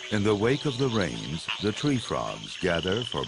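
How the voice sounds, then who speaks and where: A man speaks fairly slowly at a fairly low pitch, his intonation lively. Noticeable background noise sits behind him. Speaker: nature documentary narrator. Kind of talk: nature documentary narration, scripted and poetic. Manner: measured, hushed and dramatic, with a slow, storytelling cadence; formal, polished and evocative.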